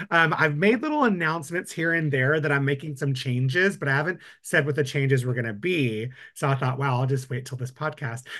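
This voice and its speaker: Fairly quick and bright, sharp in tone, a man with a fairly high pitch speaks with ordinary pitch variation against a quiet background. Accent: Texan. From West Texas. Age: 40s. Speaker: permanent makeup artist and laser trainer. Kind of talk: casual chat.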